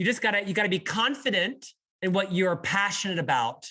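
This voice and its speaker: Raised and projected, a man's high-pitched voice carries an American accent. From US Southeast, Florida (Orlando). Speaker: business leader and author. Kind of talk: podcast interview.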